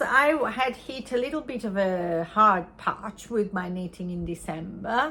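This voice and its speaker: Speaking very slowly with an Italian accent, a woman with a fairly high pitch makes very wide pitch swings. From Italy. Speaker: knitting podcaster. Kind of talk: casual chat. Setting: home crafting corner. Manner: halting.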